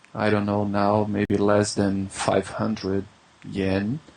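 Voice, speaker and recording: A man with a Brazilian accent, fairly low in pitch, at a very slow pace, with noticeable background noise. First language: Brazilian Portuguese. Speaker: English teacher. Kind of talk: interview. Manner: halting.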